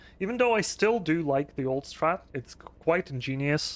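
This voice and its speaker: Speaking fairly slowly, the voice carries a non-native accent. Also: man. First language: not English. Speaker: speedrunner. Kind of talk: live gameplay commentary. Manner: hesitant, many fillers.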